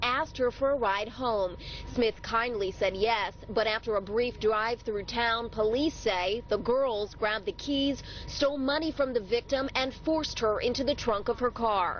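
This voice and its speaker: A woman speaks in an ordinary speaking voice at a moderate pace, her fairly high pitch moving with ordinary variation and her loudness very even. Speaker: TV news reporter. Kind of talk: TV news report.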